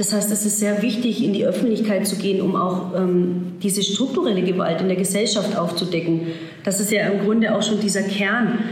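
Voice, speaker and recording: A woman of medium pitch at a fairly quick pace, with very even loudness and fairly even intonation, amid noticeable background noise and audible room echo. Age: 30s. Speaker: social work student. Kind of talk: interview.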